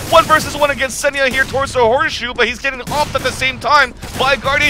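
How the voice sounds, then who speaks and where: Over noticeable background noise, a man with an extremely high pitch speaks in a raised, projected voice. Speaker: esports commentator. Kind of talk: live commentary. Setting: live event venue near players.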